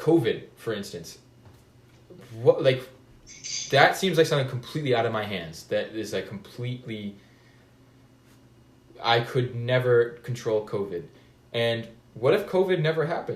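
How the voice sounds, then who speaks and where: Somewhat breathy, a man speaks at a moderate pace with lively intonation and long, frequent pauses. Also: medium pitch for a man. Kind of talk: casual conversation. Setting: video call.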